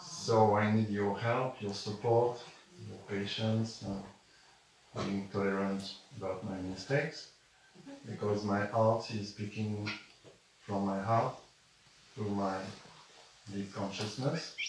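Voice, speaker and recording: A man's fairly low, fairly even-toned speech in a French accent, very slow with long, frequent pauses, plus audible room echo and noticeable background noise. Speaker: spiritual teacher, channeler. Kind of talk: spiritual talk to live audience. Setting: room with live audience. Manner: halting.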